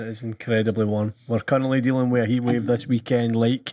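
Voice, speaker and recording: Speaking fairly quickly with an Scottish accent, a man uses a dark, mellow tone at medium pitch and a flat, monotone delivery. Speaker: podcast host. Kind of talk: casual chat.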